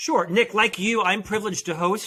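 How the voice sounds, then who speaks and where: Here a man speaks in a bright, sharp tone. His pace is moderate and his pitch variation ordinary. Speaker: podcast host and author. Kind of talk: interview.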